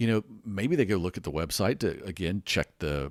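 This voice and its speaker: A man with a very deep, low pitch and an American accent, in a very clean recording with a silent background. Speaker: podcast host. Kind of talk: podcast monologue about weather. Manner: conversational, unscripted.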